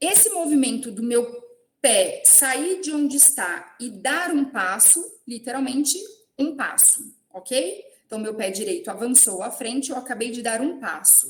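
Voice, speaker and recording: A woman's high voice with very wide pitch swings at a fairly slow pace, with audible room echo. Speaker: professor. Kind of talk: lecture.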